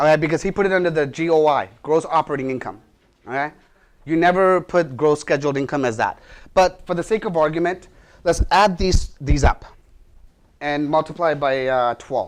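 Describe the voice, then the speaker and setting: Ordinary variation colors this man's fairly high pitch. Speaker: real estate instructor. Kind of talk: lecture. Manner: fast.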